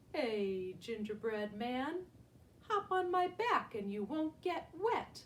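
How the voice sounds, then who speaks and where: A woman's put-on character voice, high-pitched and very slow, with very wide pitch swings. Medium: read story. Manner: smooth, coaxing.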